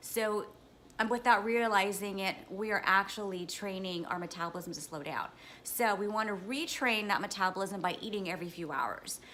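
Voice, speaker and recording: Here is a woman with a normal speaking voice. Her pitch varies in an ordinary way at a moderate pace. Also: medium pitch for a woman. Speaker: fitness vlogger and trainer. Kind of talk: casual vlog tips.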